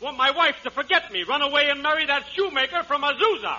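Putting on a character voice, a man talks fast at an extremely high pitch with a bright, sharp tone and lively intonation.

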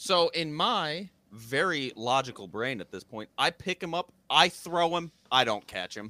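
A man's fairly slow, fairly high voice with a bright, sharp tone, vocal fry, very wide pitch swings and big swings in loudness, in a dry, close sound with no echo on a very clean recording with a silent background. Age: 20s. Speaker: soccer goalkeeper. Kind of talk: casual chat.

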